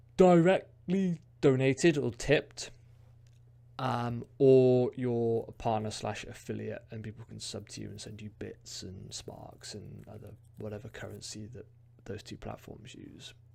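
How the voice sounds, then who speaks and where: Slowing to a fairly unhurried pace, a man speaks at medium pitch in a dark, mellow tone with ordinary pitch variation. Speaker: streamer vlogger. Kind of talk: casual vlog talk. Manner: hesitant, many fillers.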